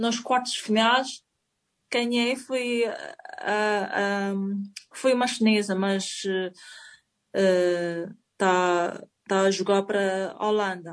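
A woman speaking very slowly at a fairly high pitch, with ordinary pitch variation. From China. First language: Chinese (speaking Portuguese). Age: 40s. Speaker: table tennis player. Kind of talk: interview. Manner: halting.

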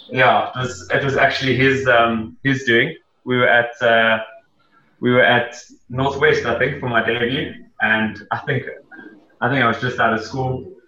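In a room with audible echo, a man with a medium pitch speaks fairly slowly and with fairly even intonation. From South Africa, Gauteng. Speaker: professional cricketer. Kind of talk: casual interview.

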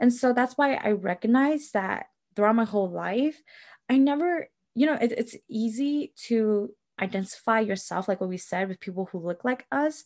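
A woman with an American accent and an ordinary speaking voice, fairly high in pitch and lively in intonation, at a moderate pace, recorded dry and close with no echo against a quiet background. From Milwaukee, Wisconsin. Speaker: podcast co-host. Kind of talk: casual chat.

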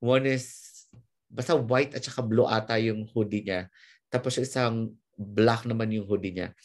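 The man's pitch is medium and his intonation fairly even. He talks at a moderate pace. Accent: Filipino. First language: Tagalog. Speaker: podcast host. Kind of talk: casual interview. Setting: remote call.

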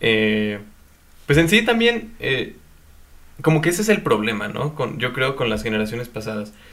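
This man speaks at a moderate pace with lively intonation, stopping for long, frequent pauses. Audible room echo surrounds his voice. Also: medium pitch for a man. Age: young. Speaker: podcast co-host. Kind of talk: casual chat.

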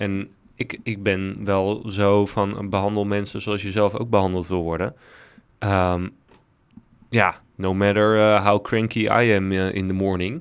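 A man's voice is fairly low and monotone, with flat intonation. He talks at a fairly slow pace. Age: 30s. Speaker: podcast co-host. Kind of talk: casual chat.

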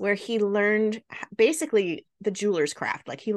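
Fairly even intonation and quiet surroundings behind a natural reading voice

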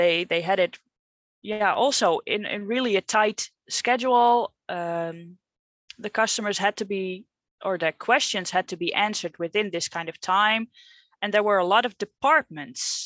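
The speaker is a woman with a Dutch accent at a moderate pace. The sound is dry and close, with no echo. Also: medium pitch for a woman, ordinary pitch variation, quiet background. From Netherlands. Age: 30s. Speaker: coaching client. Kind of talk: coaching conversation. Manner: halting, hesitant.

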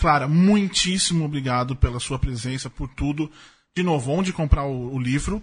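Somewhat breathy and fairly high in pitch, a man's voice moves at a moderate pace with ordinary pitch variation. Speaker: podcast host. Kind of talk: casual chat. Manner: animated.

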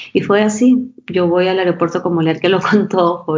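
A plain, everyday voice. It moves at a moderate pace. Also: woman. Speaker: fashion brand co-founder. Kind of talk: interview.

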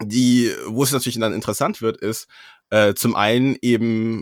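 At a fairly slow pace, a normal speaking voice comes through a very clean recording with a silent background, the sound dry and close with no echo. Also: man. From Germany, Freiburg (Baden-Württemberg). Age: 20s. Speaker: law student. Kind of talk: casual interview.

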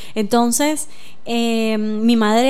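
A woman speaks with a fairly high pitch. Noticeable background noise and audible room echo surround her. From Nicaragua. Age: 40s. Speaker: filmmaker. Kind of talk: radio interview.

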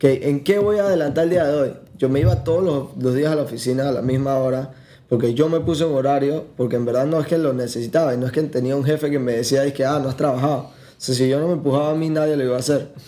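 With audible room echo, a man talks at a very fast pace in a fairly high pitch, his tone dark and mellow and his intonation fairly even. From Panama. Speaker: tourism entrepreneur. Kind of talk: casual chat.

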